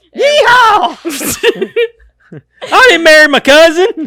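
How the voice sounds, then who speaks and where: This put-on character voice sits at an extremely high pitch, with a Southern accent as part of the act. The pace is very slow. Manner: exaggerated, hyper, comical.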